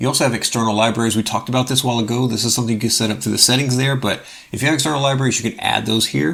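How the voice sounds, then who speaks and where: Talking at a very fast pace, a man shows vocal fry, a medium pitch and ordinary pitch variation. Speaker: open source software youtuber. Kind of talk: tutorial. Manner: casual, filler-heavy.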